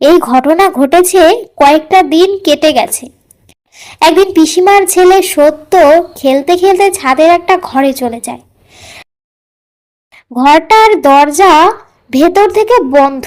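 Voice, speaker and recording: An extremely high-pitched, cartoonish character voice speaks at a fairly slow pace. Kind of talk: horror narration.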